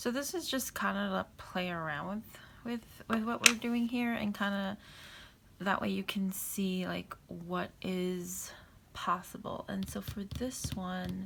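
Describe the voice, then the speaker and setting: Soft-spoken and mumbling, a woman talks. Her pace is fairly slow. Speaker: papercraft tutorial creator. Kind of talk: tutorial.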